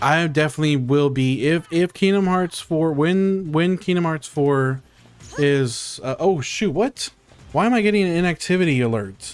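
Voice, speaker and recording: A man's high voice in an American accent, at a moderate pace with lively intonation and very even loudness. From South Texas. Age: 30s. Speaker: video game streamer. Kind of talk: casual live-stream chat. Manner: casual, animated.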